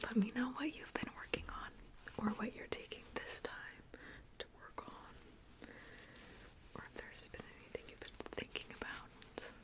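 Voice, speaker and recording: Someone whispers at a fairly slow pace, pausing long and often, with noticeable background noise behind them. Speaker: ASMR creator. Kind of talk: whispered ASMR chat. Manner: whispering; casual.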